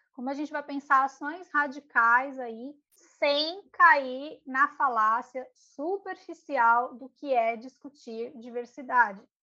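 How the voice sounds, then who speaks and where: Speaking in a raised, projected voice with a bright, sharp tone, a woman talks at a high pitch and a very slow pace with hardly any pauses, ordinary pitch variation and big swings in loudness. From São Paulo periphery, Brazil. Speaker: podcast co-host. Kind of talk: casual chat about readings.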